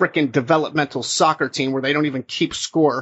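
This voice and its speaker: A man with an American accent, a fairly high pitch and a plain, everyday voice. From New Jersey. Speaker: podcast host, wrestling journalist. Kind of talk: casual sports discussion.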